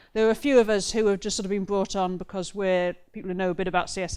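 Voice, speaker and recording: The recording is very clean with a silent background. A woman speaks at medium pitch with fairly even intonation. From northeast England, Newcastle and Gateshead. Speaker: web developer and conference speaker. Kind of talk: conference talk.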